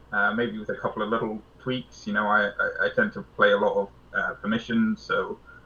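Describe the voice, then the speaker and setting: A man with a British accent at a moderate pace. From Britain. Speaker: card game player. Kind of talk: casual interview.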